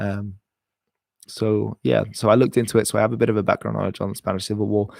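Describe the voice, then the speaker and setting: Talking very fast, a man speaks with an English accent. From England. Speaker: history YouTuber. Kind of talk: live stream Q&A chat.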